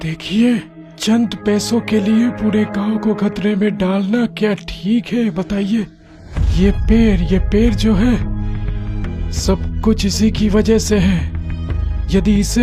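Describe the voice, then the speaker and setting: A cartoonish character voice moves at a fairly slow pace over clear music in the background. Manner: calm, reasoning.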